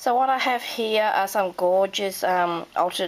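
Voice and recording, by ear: In an Australian accent, a woman with a croaky, medium-pitched voice talks at a fairly slow pace with ordinary pitch variation.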